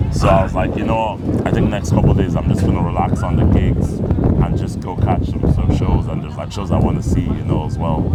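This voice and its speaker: A man with a very deep, low pitch talks at a fairly quick pace, his pitch swinging very widely. Audible room echo and noticeable background noise surround him. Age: 20s. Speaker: comedian. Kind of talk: casual chat.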